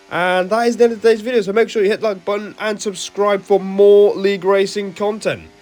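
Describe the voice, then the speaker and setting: Speech races along at a very fast pace with hardly any pauses, music playing in the background. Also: man, high pitch for a man. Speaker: sim racing YouTuber. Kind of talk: race commentary over gameplay. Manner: animated.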